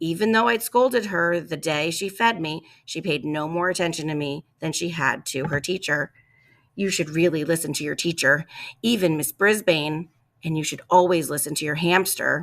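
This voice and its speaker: On a very clean recording with a silent background, a raspy, put-on character voice moves at a moderate pace with ordinary pitch variation. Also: woman, fairly low pitch for a woman. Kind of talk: children's story narration. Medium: read story. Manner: eager, earnest.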